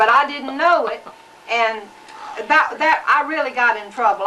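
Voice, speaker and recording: Someone talks at a fairly quick pace in a Southern US accent, with ordinary pitch variation over noticeable background noise. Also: woman. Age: 70s. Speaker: grandmother. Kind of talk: family interview. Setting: home video recording.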